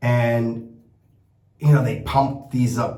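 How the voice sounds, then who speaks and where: A man with an American accent speaks at a very slow pace, somewhat breathy and medium in pitch. Audible room echo surrounds his voice. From United States. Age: 60s. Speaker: shaving product maker and vlogger. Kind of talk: casual vlog monologue. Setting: travelling in Italy. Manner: rambling, with many repeated words and fillers.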